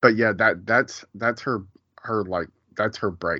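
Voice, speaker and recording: In a normal speaking voice, a man talks at a fairly slow pace with fairly even intonation. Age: 40s. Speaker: TV show recap podcaster. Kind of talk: casual chat.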